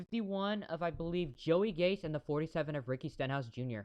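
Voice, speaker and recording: Speaking at a fairly quick pace, a man uses lively intonation. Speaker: amateur race commentator streamer. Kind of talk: live commentary. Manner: halting.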